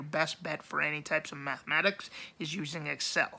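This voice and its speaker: Fairly slow speech in an American accent on a very clean recording with a silent background. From Wyoming, US. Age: 30s. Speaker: blind college student vlogger. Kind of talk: casual vlog monologue. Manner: halting, many fillers.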